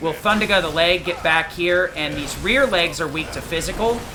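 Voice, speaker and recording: The speaker goes at a fairly quick pace amid noticeable background noise. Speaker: gaming streamer. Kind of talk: tutorial. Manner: fast; many fillers like um and uh.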